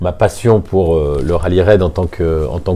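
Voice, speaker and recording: A man's very deep, low voice at a fairly slow pace, with ordinary pitch variation and noticeable background noise. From southern France, Nice. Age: 50s. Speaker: motor racing circuit director. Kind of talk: interview. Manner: hesitant, frequent fillers.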